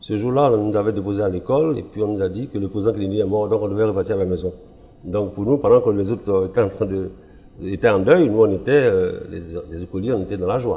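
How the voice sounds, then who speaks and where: A man talks very fast in a fairly low, dark, mellow voice. He sounds somewhat breathy, with ordinary pitch variation. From Ivory Coast. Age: 60s. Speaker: pastor. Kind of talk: testimony.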